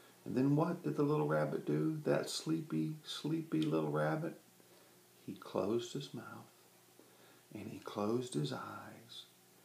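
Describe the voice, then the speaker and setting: A man speaks at a fairly slow pace in a medium pitch, somewhat breathy, with very wide pitch swings, big swings in loudness and long, frequent pauses. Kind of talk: children's story read aloud, bedtime story.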